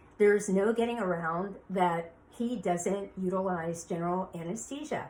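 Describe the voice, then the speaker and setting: Speaking in a plain, everyday voice, the woman has a medium pitch with ordinary variation. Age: 60s. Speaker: beauty industry veteran. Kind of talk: podcast monologue.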